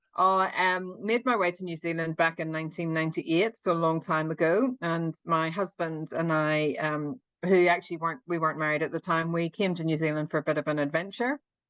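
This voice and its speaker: A woman talks at a fairly quick pace with an Irish accent. Her pitch is fairly low, with ordinary variation. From Northern Ireland. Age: 50s. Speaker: open water swimmer. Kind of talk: interview.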